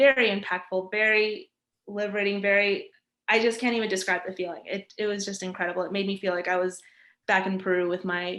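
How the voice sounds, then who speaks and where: Against a quiet background, a woman talks at a very fast pace with a medium pitch and a bright, sharp tone. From New York, US. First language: Spanish. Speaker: graphic designer. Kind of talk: interview. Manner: energetic.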